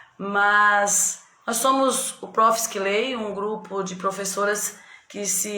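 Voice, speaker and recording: Noticeable background noise and audible room echo surround a woman's voice. She speaks at a very slow pace in a medium pitch. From São Paulo state, Brazil. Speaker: teacher hosting a reading group live. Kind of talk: live stream chat. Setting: video call live stream. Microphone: echo on the line.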